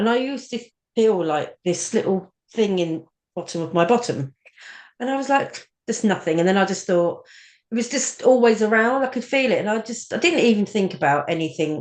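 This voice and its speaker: With lively intonation and a fairly high pitch, a woman talks at a fairly quick pace in a normal speaking voice. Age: 40s. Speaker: cancer survivor with a stoma. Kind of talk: podcast interview, personal story.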